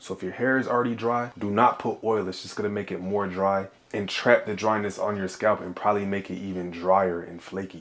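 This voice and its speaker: A man talks quickly-ish at a fairly quick pace, his fairly low voice held to fairly even intonation. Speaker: hair tutorial YouTuber. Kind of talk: tutorial. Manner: fast; casual, slangy.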